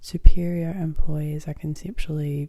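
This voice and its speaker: The voice is soft-spoken with a gentle tone and moves at a fairly slow pace. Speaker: ASMR creator; student. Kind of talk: ASMR educational tutorial. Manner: soft-spoken, gentle.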